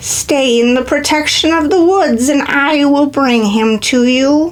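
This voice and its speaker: Using a put-on character voice, a woman speaks at a fairly slow pace in a high pitch. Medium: read story. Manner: solemn, cryptic.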